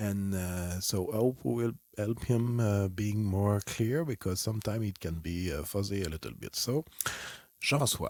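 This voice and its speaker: A man with a French accent speaks in a fairly low pitch. The recording is very clean, with a silent background. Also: ordinary pitch variation, moderate pace. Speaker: clinical psychologist and author. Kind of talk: playful self-interview. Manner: halting.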